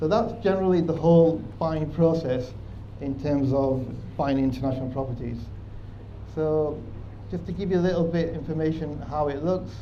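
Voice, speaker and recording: A man speaks in a strong Manchester accent with a fairly high pitch. His speech has long, frequent pauses, and the room echoes audibly. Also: ordinary pitch variation, moderate pace. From northern England, Manchester. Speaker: proptech company presenter. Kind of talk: conference presentation.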